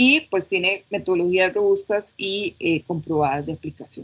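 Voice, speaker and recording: Using an ordinary speaking voice, a woman of medium pitch talks at a moderate pace with ordinary pitch variation. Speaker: anthropologist and UX researcher.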